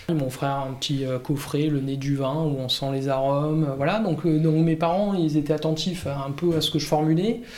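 A man talks at a moderate pace with hardly any pauses, fairly high in pitch and fairly even in intonation. Noticeable background noise and audible room echo are present. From Provence, southern France (Var). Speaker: winegrower. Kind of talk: casual interview. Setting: at his home. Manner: halting, many fillers.

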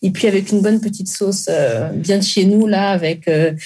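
A woman's fairly quick speech with ordinary pitch variation, over noticeable background noise. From Congo-Brazzaville. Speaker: caterer and food entrepreneur. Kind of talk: interview.

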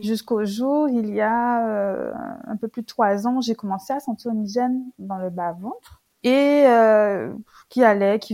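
Speaking very slowly, a woman uses a fairly high pitch, ordinary pitch variation and a dark, mellow tone. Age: 30s. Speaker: social worker sharing her endometriosis story. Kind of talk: testimony.

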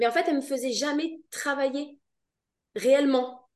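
A woman's high voice at a moderate pace. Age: 30s. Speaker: virtual assistant. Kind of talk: casual interview.

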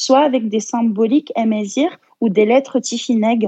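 Her tone dark and mellow, a woman speaks at a fairly high pitch with ordinary pitch variation. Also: dry, close sound with no echo. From France and Algeria. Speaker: therapist, traditional medicine practitioner. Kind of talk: casual interview.

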